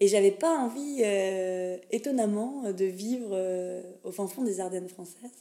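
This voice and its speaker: At a very slow pace, a woman speaks at a medium pitch with ordinary pitch variation and big swings in loudness. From France, Lorraine (Pont-à-Mousson). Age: 30s. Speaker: cultural mediator. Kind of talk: casual interview. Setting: coworking space.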